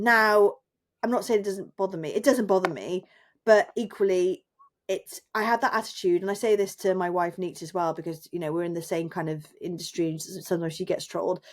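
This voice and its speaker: Her pitch medium and its variation ordinary, a woman speaks at a fairly quick pace. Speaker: freelance journalist and lecturer. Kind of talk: casual chat. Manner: loud.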